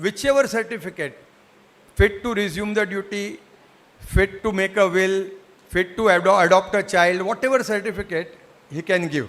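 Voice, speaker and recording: With a slight Gujarati accent, a man speaks at a high pitch and a moderate pace, with ordinary pitch variation and long, frequent pauses. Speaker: psychiatrist. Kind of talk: lecture.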